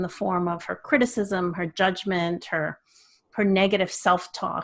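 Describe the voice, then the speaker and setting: An ordinary speaking voice with a Canadian accent, fairly even intonation and a moderate pace, on a very clean recording with a silent background. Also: woman. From Canada. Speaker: children's author and speaker. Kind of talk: interview.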